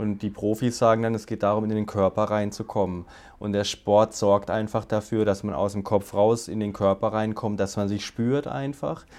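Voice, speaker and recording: The man's voice sits fairly low and his intonation stays fairly flat. He speaks at a medium tempo. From Baden, southwest Germany. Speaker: agency CEO. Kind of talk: interview.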